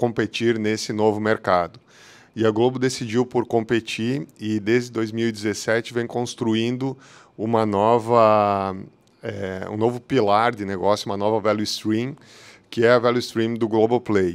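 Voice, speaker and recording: A man speaks at a fairly slow pace and medium pitch in a monotone, flat intonation. The recording is very clean, with a silent background. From southern Brazil, Porto Alegre. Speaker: technology executive. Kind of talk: conference talk. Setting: hybrid meetup event. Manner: halting, many fillers.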